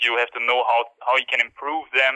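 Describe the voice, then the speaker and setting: With a German accent, a man talks at a moderate pace. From Austria. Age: 20s. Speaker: climber and YouTuber. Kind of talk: interview. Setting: phone call.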